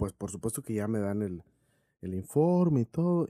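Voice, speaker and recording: A man speaks at a fairly slow pace in a dark, mellow tone, with very wide pitch swings. The sound is dry and close, with no echo. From Mexico, Sonora (Cananea). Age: 40s. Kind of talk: interview testimony.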